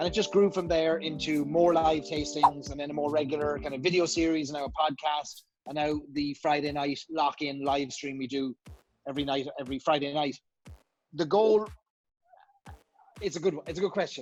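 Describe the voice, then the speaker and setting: A man with an Irish accent talks at a fairly high pitch and a fairly quick pace with ordinary pitch variation while music plays in the background. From Ireland, Cork. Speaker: Irish whiskey educator. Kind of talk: casual interview chat.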